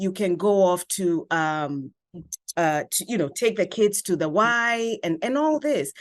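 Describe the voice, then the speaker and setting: Speaking fairly slowly, a woman sounds animated against a quiet background. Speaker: family lawyer. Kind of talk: interview. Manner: animated storytelling.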